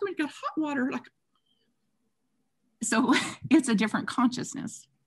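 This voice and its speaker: A woman speaks at a high pitch and fairly quick pace. Her intonation is lively. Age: 60s. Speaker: spiritual author. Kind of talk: interview. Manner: animated.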